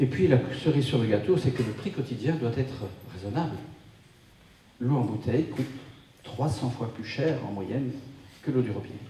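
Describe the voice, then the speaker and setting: A man speaks with long, frequent pauses. Noticeable background noise and audible room echo surround him. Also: medium pitch for a man, ordinary pitch variation, moderate pace. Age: 60s. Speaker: wellness speaker. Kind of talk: talk to a live audience. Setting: conference room with audience.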